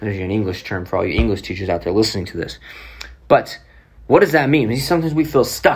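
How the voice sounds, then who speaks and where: With an American accent, a man talks in a somewhat breathy voice that swings very widely in pitch. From Oklahoma City, US. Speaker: podcast host, motivational speaker. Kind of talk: motivational talk.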